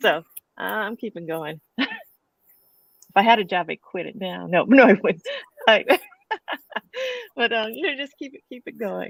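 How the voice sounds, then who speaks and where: A woman with vocal fry speaks at a moderate pace with lively intonation, long, frequent pauses and big swings in loudness, in a dry, close sound with no echo. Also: medium pitch for a woman. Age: 60s. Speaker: comic strip cartoonist. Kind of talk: panel discussion. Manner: halting.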